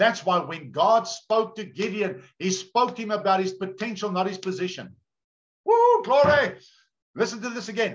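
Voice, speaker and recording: The speaker has an animated tone, ordinary pitch variation and a moderate pace against a quiet background. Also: man, high pitch for a man. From South Africa. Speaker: pastor. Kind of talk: sermon. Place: home room. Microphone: video call.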